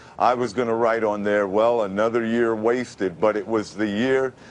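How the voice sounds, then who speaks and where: With a New York accent, a man talks at a moderate pace and with fairly even intonation. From Brooklyn, New York. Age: 50s. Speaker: radio announcer. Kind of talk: TV interview answer.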